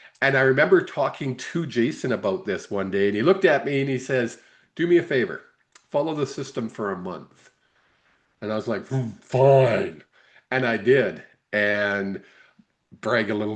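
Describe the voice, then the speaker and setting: Here is a normal speaking voice, a man's, with a Canadian accent and lively intonation. He talks at a moderate pace against a quiet background. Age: 60s. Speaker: sports podcast co-host. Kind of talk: casual interview.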